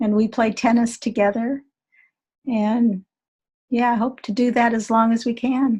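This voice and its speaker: On a very clean recording with a silent background, a woman with a fairly high pitch and a dark, mellow tone speaks in a monotone, flat intonation at a fairly slow pace, leaving long, frequent pauses. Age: 70s. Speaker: energy healer and teacher. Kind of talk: interview.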